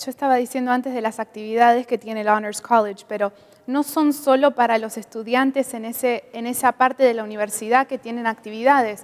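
A woman's high-pitched voice at a fairly quick pace, in a monotone with flat intonation. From Argentina. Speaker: international college student. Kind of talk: interview. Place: studio. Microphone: lapel.

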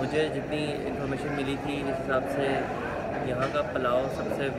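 Loud background noise surrounds this man as he talks at a fairly slow pace. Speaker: travel food vlogger. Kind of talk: casual vlog chat. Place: cafe. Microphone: phone near.

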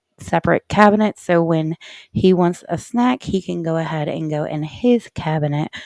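A woman with a very deep, low pitch talks at a moderate pace with ordinary pitch variation, the sound dry and free of echo while music plays in the background. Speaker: homemaking vlogger. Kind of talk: casual vlog narration. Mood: calm, relaxed explaining.

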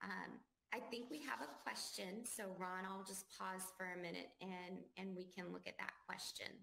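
Vocal fry in a bright, sharp tone with very even loudness. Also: woman, medium pitch for a woman, ordinary pitch variation, moderate pace. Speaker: government affairs professional; webinar presenter. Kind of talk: webinar presentation. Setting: webinar video call. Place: home room.

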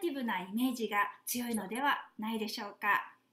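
There is audible room echo as a woman speaks. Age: 50s. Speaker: flight attendant and health seminar lecturer. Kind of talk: online seminar lecture; guided exercise instruction. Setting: video call.

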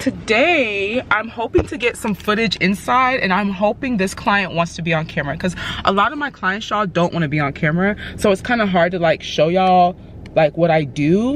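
A woman speaks at a fairly quick pace with lively intonation, her dry, echo-free sound set against light background noise. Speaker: stylist vlogger. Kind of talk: casual vlog chat. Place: car. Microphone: phone near.

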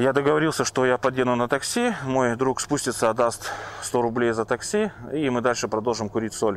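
Over light background noise, a man talks at a moderate pace and medium pitch with ordinary pitch variation, the sound dry with no echo. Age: 30s. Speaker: recovering drug addict. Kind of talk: personal testimony. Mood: reflective, slightly amused. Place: forest. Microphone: lapel.

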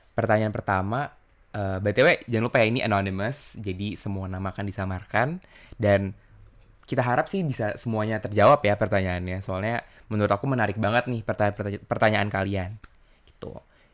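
A man talks in a normal speaking voice at a fairly low pitch and fairly quick pace, with fairly even intonation against a quiet background. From Indonesia. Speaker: podcast host. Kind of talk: casual chat. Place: home room. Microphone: studio mic.

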